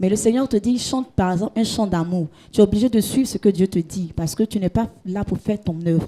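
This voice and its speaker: Somewhat breathy and dark, mellow in tone, a woman speaks at a medium pitch with ordinary pitch variation. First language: Gouro (speaking French). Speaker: gospel singer and hairdresser. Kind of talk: interview. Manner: halting, repeats words.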